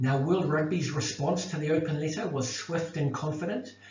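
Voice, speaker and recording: Recorded with audible room echo and noticeable background noise, a man speaks with a New Zealand accent. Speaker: academic researcher. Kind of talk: lecture. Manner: halting.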